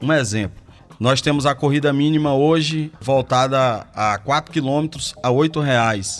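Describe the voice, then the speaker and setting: Here is a man with a normal speaking voice and a fairly high pitch. He talks at a fairly slow pace with very even loudness. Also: ordinary pitch variation. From Porto Velho, Rondônia, northern Brazil. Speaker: ride-hailing app owner. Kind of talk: radio interview.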